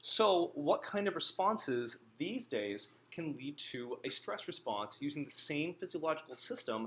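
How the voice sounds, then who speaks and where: An American-accented man with very wide pitch swings. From US Northeast. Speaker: guest lecturer. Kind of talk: lecture. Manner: fast.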